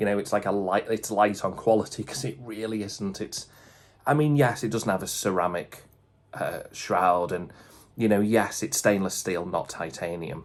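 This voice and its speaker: A man speaks at a moderate pace. His pitch is fairly low, with ordinary pitch variation. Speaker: watch collector YouTuber. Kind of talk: casual video review. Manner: hesitant, many fillers.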